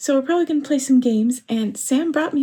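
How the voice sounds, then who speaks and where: With lively intonation, a woman speaks in a dark, mellow tone. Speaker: crafting vlogger. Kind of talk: casual vlog chat. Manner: slurred from tiredness.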